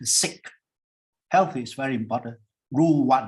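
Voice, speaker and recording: Lively intonation marks a man's somewhat breathy speech. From Singapore. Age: 70s. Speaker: professor. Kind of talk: panel discussion. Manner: conversational, informal.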